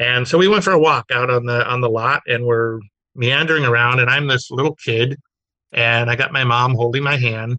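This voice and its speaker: A man with an American accent speaks at a moderate pace and medium pitch, keeping ordinary pitch variation and very even loudness. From Southern California, Glendale. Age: 40s. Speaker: automotive magazine publisher. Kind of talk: casual interview chat. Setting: video call.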